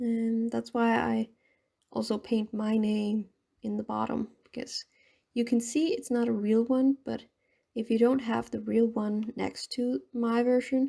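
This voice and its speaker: Mumbling at a fairly slow pace, a woman speaks. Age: 20s. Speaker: painting vlogger. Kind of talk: casual vlog commentary while painting. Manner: rambling, halting.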